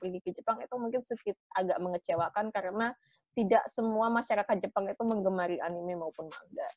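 At a very fast pace, a woman speaks with ordinary pitch variation in a dry recording with no echo and a quiet background. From Indonesia. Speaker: student association leader; guest. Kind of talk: interview. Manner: halting. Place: home room. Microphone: video call.

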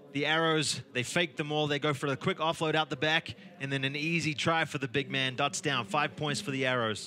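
An unremarkable speaking voice, a man's, fairly high in pitch, with ordinary pitch variation, a fairly quick pace and hardly any pauses. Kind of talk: casual expert co-commentary analysing replays. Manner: relaxed, conversational, chatty; upbeat, a little cheeky.

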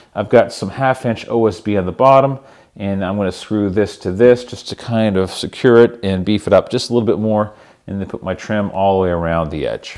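Over a quiet background, a man talks at a fairly quick pace in an ordinary speaking voice, fairly low in pitch with ordinary pitch variation. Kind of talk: tutorial. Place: workshop.

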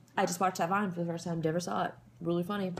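A woman speaks in a somewhat breathy voice. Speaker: vlogger. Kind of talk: casual vlog chat. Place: home room. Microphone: webcam.

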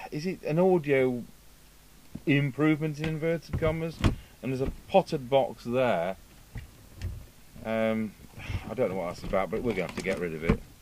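With long, frequent pauses at a moderate pace, the speech has a dry sound with no echo and light background noise. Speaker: radio repair technician. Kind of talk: tutorial. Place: workshop.

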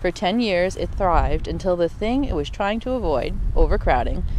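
At a moderate pace, a woman speaks over noticeable background noise, the sound dry with no echo. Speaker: ASMR creator. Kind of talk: informational reading. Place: street. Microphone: handheld.

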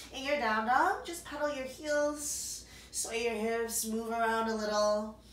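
Audible room echo surrounds a woman with a fairly high pitch and ordinary pitch variation. She speaks at a fairly slow pace. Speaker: yoga instructor. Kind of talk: guided yoga class. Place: home room. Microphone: camera far.

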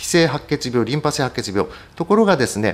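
A man's lively intonation moves along at a moderate pace. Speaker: hematologist. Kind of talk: medical lecture. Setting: online webinar. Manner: frequent fillers and hedges.

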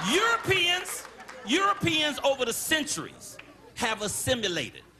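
A man speaks in a raised, projected voice with an animated tone and very wide pitch swings. Noticeable background noise runs behind him. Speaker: stand-up comedian. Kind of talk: stand-up comedy set working the crowd, joke-telling with punchlines. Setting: stage with live audience. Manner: animated, conversational crowd-work with repeated phrases and audience banter; storytelling build-ups punctuated by quick punchlines and his own laughter.

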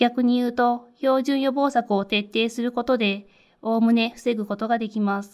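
A woman's fairly high voice in a monotone, flat intonation at a fairly slow pace. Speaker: infection control nurse. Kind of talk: lecture. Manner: formal.

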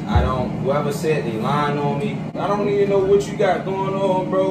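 A man's voice comes through loud background noise. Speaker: boyfriend in prank video. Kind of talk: casual argument on camera. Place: kitchen. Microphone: camera far.

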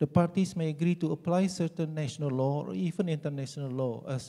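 A man's fairly high, somewhat breathy voice with a dark, mellow tone, at a fairly quick pace with ordinary pitch variation, over a quiet background. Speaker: law professor. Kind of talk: conference presentation. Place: hall. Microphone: handheld.

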